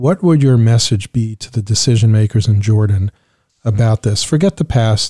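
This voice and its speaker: A man speaks at a fairly quick pace with a fairly low, somewhat breathy voice. His tone is dark and mellow, and the sound is dry and close with no echo. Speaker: podcast host and former diplomat. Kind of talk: interview.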